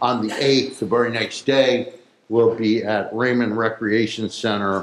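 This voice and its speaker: Audible room echo surrounds a man speaking at a fairly slow pace with fairly even intonation. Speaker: elected official hosting hearing. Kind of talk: public meeting announcements and address. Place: hall. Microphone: podium.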